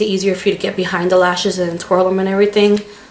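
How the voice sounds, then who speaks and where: The background noise is noticeable. Beneath it, a woman speaks at a medium pitch. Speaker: beauty vlogger. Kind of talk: product review vlog.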